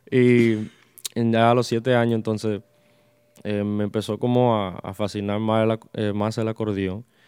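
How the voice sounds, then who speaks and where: Flat, monotone intonation marks this fairly slow delivery. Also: man, medium pitch for a man. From Long Island, New York, of Dominican parents. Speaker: merengue accordionist. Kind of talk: casual interview chat.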